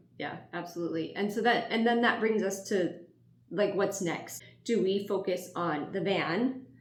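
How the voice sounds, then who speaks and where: Noticeable background noise and audible room echo accompany a woman speaking at a medium pitch and moderate pace with ordinary pitch variation. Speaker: YouTuber. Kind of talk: casual chat. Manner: quiet.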